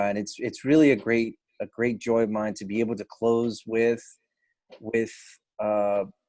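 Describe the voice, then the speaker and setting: In a quiet background, a man speaks at a medium pitch and moderate pace with monotone, flat intonation. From Cuban American, grew up in US. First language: Spanish. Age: adult. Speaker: event host and poet. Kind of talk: event closing remarks. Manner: halting, many repetitions.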